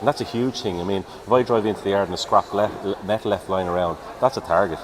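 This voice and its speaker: Over noticeable background noise, a man with a Dublin accent talks very fast at a fairly low pitch, using ordinary pitch variation. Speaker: police officer. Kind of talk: live event interview. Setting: outdoor show tent.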